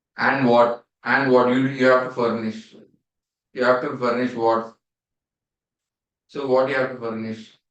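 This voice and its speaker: A man with an Indian accent talks at a fairly slow pace and a medium pitch, his intonation monotone and flat, with long, frequent pauses. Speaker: CA exam teacher. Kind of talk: revision lecture. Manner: repetitive, questioning.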